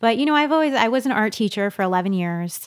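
In a very clean recording with a silent background, a woman speaks with a slight East Coast accent. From New York. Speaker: children's author and illustrator. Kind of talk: interview conversation.

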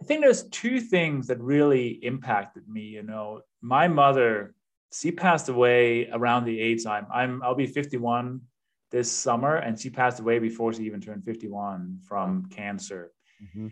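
A man with a Danish accent speaks at a moderate pace and medium pitch, with ordinary pitch variation and big swings in loudness against a quiet background. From Denmark. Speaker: real estate investor and coach. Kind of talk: podcast interview.

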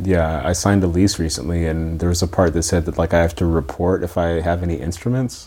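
A man with a very deep, low pitch and a dark, mellow tone speaks with an American accent at a fairly quick pace, with hardly any pauses and fairly even intonation, on a very clean recording with a silent background. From US South (small town in Georgia). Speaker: podcast interviewer. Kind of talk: interview conversation.

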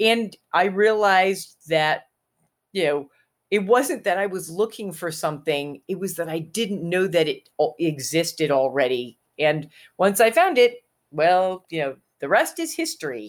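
A woman with an ordinary speaking voice, medium in pitch, lively in intonation and fairly slow in pace. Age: 60s. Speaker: author and witch. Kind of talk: casual chat. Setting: video call.

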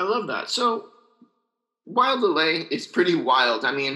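Bright and sharp describes this man's tone. His pitch shows ordinary variation. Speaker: podcast host. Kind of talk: interview. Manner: casual, upbeat.

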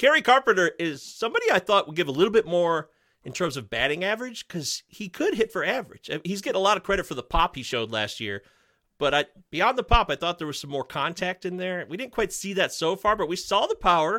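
A man's raised, projected voice, high-pitched and very fast, bright and sharp in tone, with a dry, close sound free of echo on a very clean recording over a silent background. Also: lively intonation. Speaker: fantasy baseball podcaster guest. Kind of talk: casual chat. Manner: loud, talkative.

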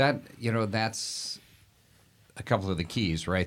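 Recorded very cleanly against a silent background, a man speaks at a moderate pace. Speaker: podcast host and deacon. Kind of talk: casual interview chat. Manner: jovial, joking.

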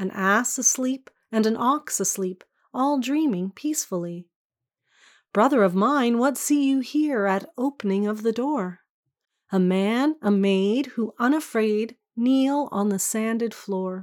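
Here is an unremarkable speaking voice, a woman's, fairly high in pitch with ordinary variation and a fairly slow pace. The recording is very clean, with a silent background. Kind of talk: poem performed, reading aloud a Christmas carol. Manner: gentle, measured and lyrical, with a hushed, tender storytelling cadence.

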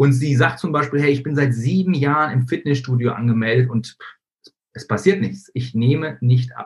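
Somewhat breathy, the man speaks at a medium pitch with ordinary pitch variation. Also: moderate pace. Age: 30s. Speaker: facebook marketing coach. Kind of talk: online training webinar. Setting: live stream with screen sharing.

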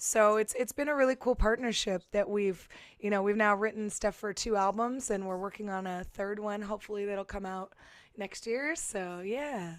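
Medium-pitched woman's voice at a moderate pace with ordinary pitch variation, in a very clean recording with a silent background. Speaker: singer. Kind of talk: casual chat.

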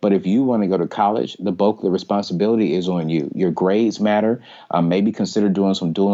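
This man has a plain, everyday voice pitched fairly low. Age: 30s. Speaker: personal finance speaker and author. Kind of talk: interview. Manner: casual, many fillers.

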